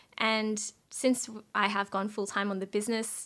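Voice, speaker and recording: The recording is very clean, with a silent background. A woman speaks in an Australian accent at a fairly high pitch. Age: 20s. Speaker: finance content creator and entrepreneur. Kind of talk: interview podcast chat. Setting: recording at host's home.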